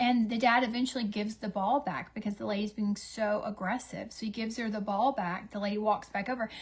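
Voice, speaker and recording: Fairly high-pitched and somewhat breathy, a woman talks at a very fast pace in an animated tone. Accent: Southern US. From US South. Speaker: beauty livestreamer. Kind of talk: casual chat. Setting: livestream with ring light.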